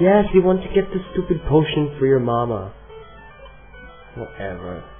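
Fairly high male voice with very wide pitch swings, a fairly slow pace and long, frequent pauses, over music in the background. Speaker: gamer. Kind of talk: casual gameplay commentary.

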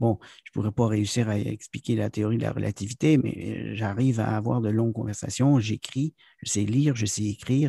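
A man speaks with a fairly low pitch and a dark, mellow tone that is somewhat breathy. His pace is moderate, and the sound is dry and close with no echo. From Quebec, town near US border. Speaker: business consultant and corporate trainer. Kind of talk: interview. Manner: halting, many hesitations.

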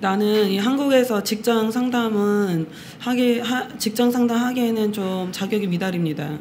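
A woman with an unremarkable speaking voice, a fairly high pitch, ordinary pitch variation and a fairly slow pace, over light background noise. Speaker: interpreter. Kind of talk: consecutive interpreting. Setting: meditation center with audience. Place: hall. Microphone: studio mic.

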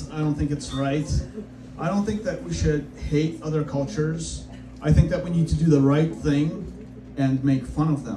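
Over noticeable background noise, a man with a fairly high pitch and ordinary pitch variation speaks with long, frequent pauses. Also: moderate pace. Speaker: stand-up comedian. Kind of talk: stand-up comedy set. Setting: comedy club stage with live audience. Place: stage. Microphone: camera far.

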